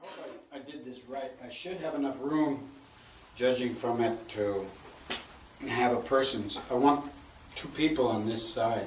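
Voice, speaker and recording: Amid noticeable background noise and audible room echo, a man at medium pitch talks with long, frequent pauses and big swings in loudness. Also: ordinary pitch variation, fairly slow pace. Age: 60s. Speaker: woodcarver. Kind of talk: casual chat.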